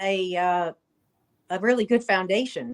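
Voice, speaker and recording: Speaking slowly at a fairly slow pace, a woman uses an unremarkable speaking voice with an American accent and ordinary pitch variation. The sound is dry and close, with no echo. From New Jersey. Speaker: chiropractor. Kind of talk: interview.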